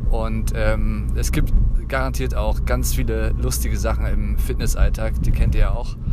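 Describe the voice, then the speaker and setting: With audible room echo and noticeable background noise, a man speaks fairly slowly in a very deep, low, monotone and flat voice. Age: 30s. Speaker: podcast host and radio worker. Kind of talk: casual monologue. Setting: in a car. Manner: hesitant with many fillers.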